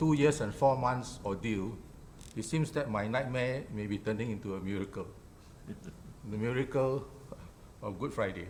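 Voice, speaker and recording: A man speaks at a moderate pace and medium pitch, with ordinary pitch variation, long and frequent pauses, and audible room echo. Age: 60s. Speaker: blogger, defendant in defamation case. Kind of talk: interview discussion.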